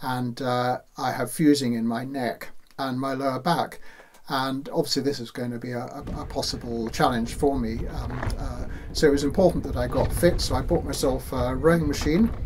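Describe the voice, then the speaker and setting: Over noticeable background noise, a man with a British accent talks at a medium pitch and moderate pace with fairly even intonation. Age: 60s. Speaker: ocean rower. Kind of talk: personal account. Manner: halting, many fillers.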